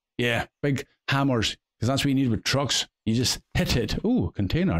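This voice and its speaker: A man of medium pitch speaks with a Scottish accent at very even loudness, the sound dry and close with no echo. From Scotland. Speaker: gaming video creator. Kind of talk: game commentary. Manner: casual, chatty.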